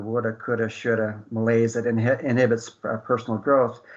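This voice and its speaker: A man at medium pitch and a fairly quick pace, with a quiet background. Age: 60s. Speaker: radio show host and author. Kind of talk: casual radio talk show monologue. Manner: hesitant, many fillers.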